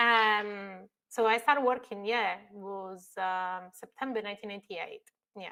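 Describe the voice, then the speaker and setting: Heard in a very clean recording with a silent background, a woman with an Italian accent has a bright, sharp tone and a medium pitch. She talks at a moderate pace with fairly even intonation and big swings in loudness. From northern Italy. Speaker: construction technology expert. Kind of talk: podcast interview.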